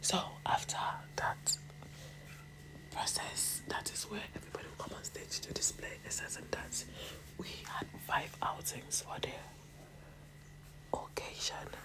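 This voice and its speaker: Whispering at a fairly slow pace with long, frequent pauses, the voice is heard over noticeable background noise. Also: woman. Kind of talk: casual talk to camera recounting a pageant experience.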